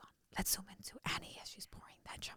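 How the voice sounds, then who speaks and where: A woman whispers at a fairly quick pace. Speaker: podcast host. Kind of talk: casual chat. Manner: animated.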